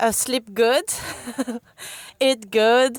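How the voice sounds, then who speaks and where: A woman in a strong French accent, fairly even in intonation, with a dry, close sound and no echo. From France. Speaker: enduro mountain biker. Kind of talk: casual interview. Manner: halting.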